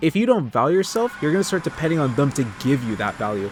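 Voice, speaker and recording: A very fast-talking man with very wide pitch swings. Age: 20s. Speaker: gaming commentary youtuber. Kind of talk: unscripted commentary over gameplay. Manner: casual, off the cuff.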